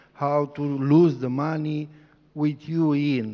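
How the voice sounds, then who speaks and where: A man speaks with a Romanian accent. His pitch is fairly high. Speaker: activist lawyer. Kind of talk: panel discussion. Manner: halting.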